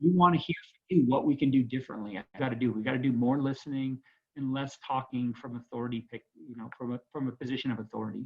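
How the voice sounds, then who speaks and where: Talking at a very fast pace, a man with a medium pitch makes big swings in loudness. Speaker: school administrator. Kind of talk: panel discussion. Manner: halting.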